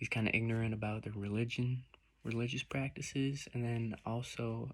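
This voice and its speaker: An American accent colors this man's medium-pitched voice. He keeps a moderate pace, his intonation monotone and flat. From United States. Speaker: student presenting a report. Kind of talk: video report. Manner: slurred; halting.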